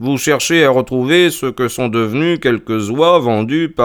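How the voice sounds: What you hear is a natural reading voice.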